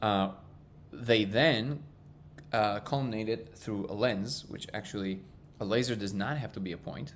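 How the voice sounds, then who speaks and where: The man speaking has a fairly low pitch and a non-native accent. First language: not English. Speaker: live stream host. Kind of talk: casual live stream chat. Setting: live stream.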